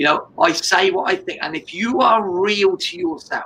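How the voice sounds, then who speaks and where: A man with an English accent, high-pitched and animated, fairly slow, with a raised, projected voice and very wide pitch swings. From England. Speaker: business coach and martial artist. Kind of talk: interview. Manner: loud.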